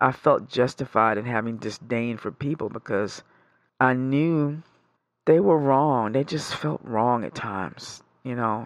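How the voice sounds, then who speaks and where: A man speaks at a fairly slow pace with an American accent. His pitch is medium, and it is an unremarkable speaking voice. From New York. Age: 50s. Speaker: therapy client. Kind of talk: therapy session.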